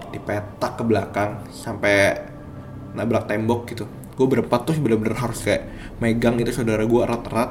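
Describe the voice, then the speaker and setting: A man talks at a fairly quick pace and medium pitch, his intonation monotone and flat. Audible room echo and noticeable background noise surround him. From East Java, Indonesia. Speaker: storyteller sharing a personal experience. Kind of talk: personal horror story narration. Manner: casual, conversational.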